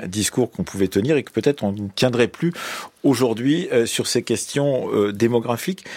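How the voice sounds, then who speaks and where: With a normal speaking voice, a man talks at a fairly quick pace using lively intonation. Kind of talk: radio debate moderation.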